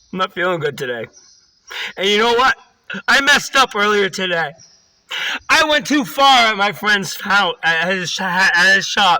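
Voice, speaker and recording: A man projects a raised, high-pitched voice with lively intonation. He keeps a moderate pace with long, frequent pauses. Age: 30s. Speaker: recovering alcoholic vlogger. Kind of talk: personal testimony monologue. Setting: in a car.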